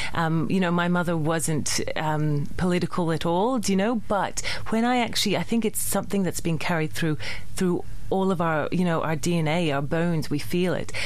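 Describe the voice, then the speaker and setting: Over noticeable background noise and audible room echo, a woman with a fairly low pitch speaks at a moderate pace, with ordinary pitch variation and very even loudness. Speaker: theatre maker. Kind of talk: radio interview. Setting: radio studio.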